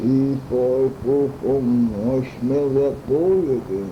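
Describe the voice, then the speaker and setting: This is a woman speaking. Noticeable background noise can be heard. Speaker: grandmother telling family stories. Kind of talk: bedtime story telling. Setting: home recording.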